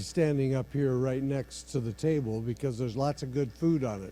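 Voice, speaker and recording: The speaker is a man with a medium pitch and ordinary pitch variation. He moves along at a fairly quick pace. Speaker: event host. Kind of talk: introduction and prayer. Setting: PA system at camp meeting. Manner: soft-spoken.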